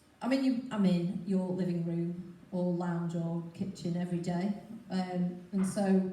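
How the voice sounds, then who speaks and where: Audible room echo around a medium-pitched female voice. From northern England, Stockport. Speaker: TV weather presenter. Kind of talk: talk to a club audience. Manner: chatty, animated.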